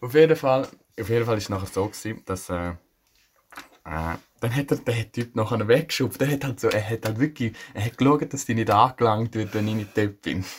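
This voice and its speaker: At a moderate pace, a man with a medium pitch sounds somewhat breathy, with ordinary pitch variation. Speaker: podcast co-host. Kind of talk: casual chat.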